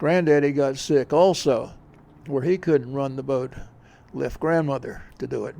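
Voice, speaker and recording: Over a quiet background, a man with a fairly high pitch and a dark, mellow tone speaks at a moderate pace with fairly even intonation. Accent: American. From Outer Banks, North Carolina. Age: 80s+. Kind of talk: interview answer.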